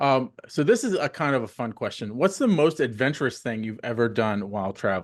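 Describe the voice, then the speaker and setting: A man with an ordinary speaking voice and an American accent, medium in pitch, fairly quick, with lively intonation, hardly any pauses and a quiet background. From US South, Florida. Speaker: podcast host. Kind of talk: podcast interview.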